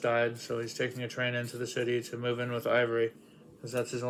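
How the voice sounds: The speaker uses a natural reading voice.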